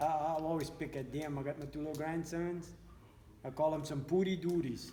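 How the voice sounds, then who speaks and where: Flat and monotone, a man with a Cajun accent talks at a fairly quick pace and fairly high pitch amid audible room echo. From US South, south Louisiana bayou (Lafourche). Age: 60s. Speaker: local resident. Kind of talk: casual chat.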